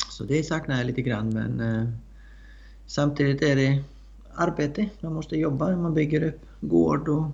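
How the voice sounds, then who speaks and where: A man with an Icelandic accent and a fairly high pitch speaks at a moderate pace. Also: ordinary pitch variation. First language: Icelandic (speaking Swedish). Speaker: horse trainer and rider. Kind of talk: interview. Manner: halting, many fillers.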